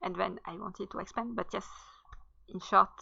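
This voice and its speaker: The voice has a bright, sharp tone and comes with a French accent. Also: woman. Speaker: writer and content creator. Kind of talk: casual channel introduction. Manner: hesitant, many fillers.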